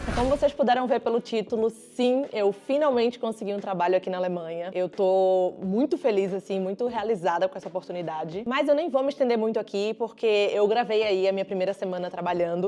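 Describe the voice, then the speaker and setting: Lively in her intonation, a woman talks at a medium pitch and a fairly quick pace. She leaves hardly any pauses, and noticeable background noise is present. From Brazil. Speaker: vlogger. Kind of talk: casual vlog talk. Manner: animated.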